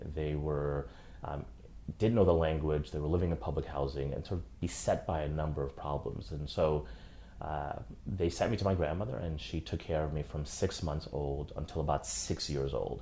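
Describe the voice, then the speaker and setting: A man speaks at a moderate pace with a very deep, low pitch and ordinary pitch variation. His tone is dark and mellow, with vocal fry. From Haiti. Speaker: human rights lawyer. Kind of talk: interview answer.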